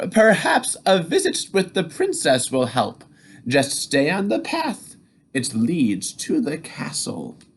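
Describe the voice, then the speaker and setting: Put-on character voice at middle pitch and a fairly slow pace. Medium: read story. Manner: warm, fussy.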